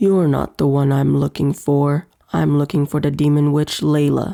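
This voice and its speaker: A woman puts on a gruff character voice with a very deep, low pitch, speaking at a moderate pace. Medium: read story. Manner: arrogant, scornful.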